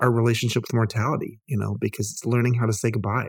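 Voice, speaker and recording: Speaking very fast, a man uses a medium pitch. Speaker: author and hotelier, cancer patient. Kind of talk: casual interview conversation.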